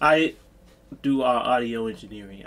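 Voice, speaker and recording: A man's voice, moderately paced. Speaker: music reviewer. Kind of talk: casual reaction commentary. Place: home room.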